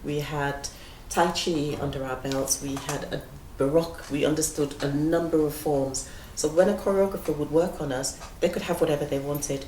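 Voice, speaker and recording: A woman with a northern English accent, very deep and low in pitch, at a moderate pace and with fairly even intonation, amid audible room echo and noticeable background noise. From northern England, Leeds. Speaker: dancer and choreographer, head of a dance school. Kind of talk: interview conversation. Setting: stage with audience in a gallery.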